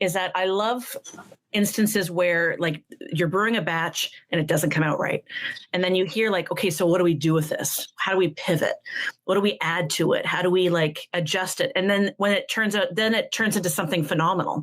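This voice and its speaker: A woman talks fairly quickly in a normal speaking voice, medium in pitch with fairly even intonation. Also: very even loudness. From Ontario, Canada. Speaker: beer writer. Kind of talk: casual chat.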